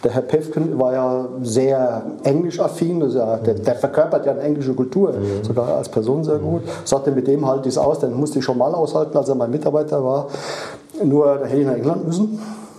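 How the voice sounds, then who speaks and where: A man talks at a fairly quick pace, his pitch fairly high with ordinary variation. Background noise is noticeable. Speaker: former automotive project manager. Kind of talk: interview, personal recollections. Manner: halting.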